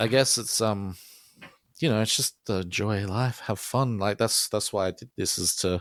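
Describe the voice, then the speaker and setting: A man's fairly low voice with an Australian accent, dry and close with no echo. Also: ordinary pitch variation, moderate pace. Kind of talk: casual interview chat. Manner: hesitant, many fillers.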